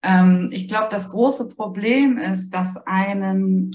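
A woman's somewhat breathy voice, medium in pitch, moves at a very slow pace. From northern Germany, Heligoland. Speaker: grief support author. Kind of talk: podcast interview.

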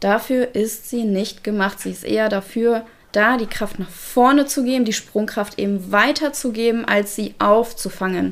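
In a normal speaking voice, a woman keeps fairly even intonation, a fairly high pitch and a moderate pace. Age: 30s. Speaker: canine physiotherapist. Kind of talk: casual chat.

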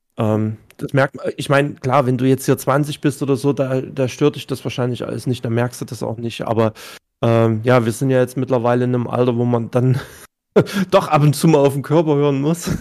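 A man's medium-pitched voice with fairly even intonation at a moderate pace. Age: 30s. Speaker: streamer. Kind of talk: casual chat.

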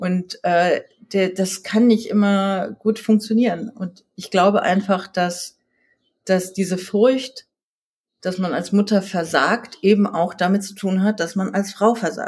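A very slow, somewhat breathy woman's voice, medium in pitch with fairly even intonation. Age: 40s. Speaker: magazine editor and author. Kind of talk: casual interview.

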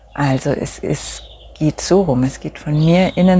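A woman's very deep, low voice, dark and mellow, somewhat breathy, at a very slow pace. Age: 40s. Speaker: podcast host and coach for mothers. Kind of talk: solo podcast monologue with brief guided mindfulness.

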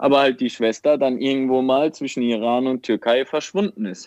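With a normal speaking voice, a man talks at medium pitch and a moderate pace, with ordinary pitch variation. The sound is dry and close, with no echo. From Germany, Mannheim/Ludwigshafen area. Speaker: aid worker. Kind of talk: interview.

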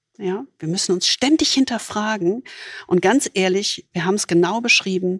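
A woman with an unremarkable speaking voice talks at a fairly slow pace in a medium pitch, with ordinary pitch variation and a dry, close sound with no echo. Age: 60s. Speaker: podcast host, leadership coach. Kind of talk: conversational discussion.

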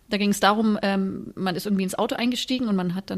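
Very fast speech from a woman, medium in pitch, her intonation fairly even. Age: 30s. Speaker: podcast host. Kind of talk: casual chat.

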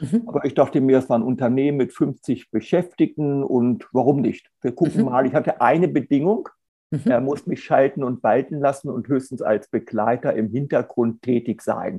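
A man speaks in an unremarkable speaking voice at a medium pitch. His pace is moderate, with ordinary pitch variation. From Hannover, northern Germany. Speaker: lawyer and sustainability consultant. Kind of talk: interview.

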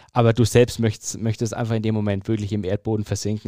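A man talks at a fairly quick pace in an ordinary speaking voice, his pitch medium. The sound is dry and close with no echo, and the recording is very clean with a silent background. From Franconia, Germany (Fürth). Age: 30s. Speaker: sports journalist and stadium announcer. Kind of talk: casual interview.

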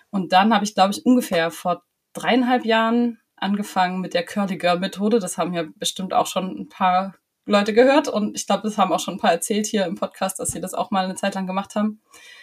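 A woman with a somewhat breathy, medium-pitched voice, ordinary pitch variation and a fairly quick pace. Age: 30s. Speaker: trainee music teacher and cloth diaper advisor. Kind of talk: casual chat.

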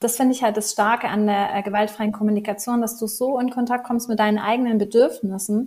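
A woman speaks at a fairly quick pace with hardly any pauses, her fairly high voice somewhat breathy and her intonation flat and monotone. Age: 30s. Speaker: life coach. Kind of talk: casual interview.

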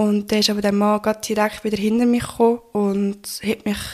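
A woman with a dark, mellow tone talks at a moderate pace with fairly even intonation. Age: 20s. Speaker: assault survivor telling her story. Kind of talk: testimony.

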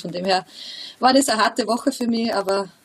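Noticeable background noise accompanies a woman's moderately paced speech. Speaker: professional footballer. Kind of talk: interview.

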